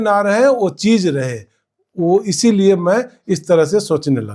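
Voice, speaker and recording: High pitch and a dark, mellow tone in a man's voice. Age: 60s. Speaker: poet. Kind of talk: interview answer.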